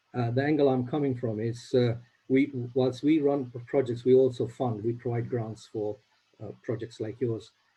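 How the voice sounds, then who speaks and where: Speaking at a moderate pace with an East African accent, a man has a medium pitch and a dark, mellow, somewhat breathy tone, with fairly even intonation. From Uganda. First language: Swahili. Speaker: charity grant funder. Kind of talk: video call meeting. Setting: video call.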